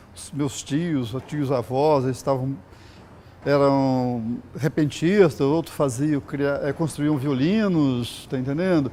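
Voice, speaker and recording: Speaking at a very slow pace, a man with a fairly high pitch and a dark, mellow tone shows ordinary pitch variation and big swings in loudness. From Brazil, Espírito Santo (Vila Velha). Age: 60s. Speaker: sculptor. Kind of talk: interview testimony. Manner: casual, halting with fillers.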